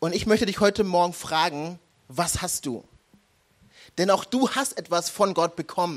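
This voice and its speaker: On a very clean recording with a silent background, a man speaks at a high pitch and a moderate pace with ordinary pitch variation and long, frequent pauses. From Germany, Nuremberg. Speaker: pastor. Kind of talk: sermon.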